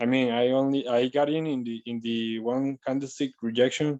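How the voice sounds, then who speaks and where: A non-native accent at a moderate pace. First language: not English. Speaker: webinar participant. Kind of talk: question in webinar. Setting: online webinar. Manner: halting, many hesitations.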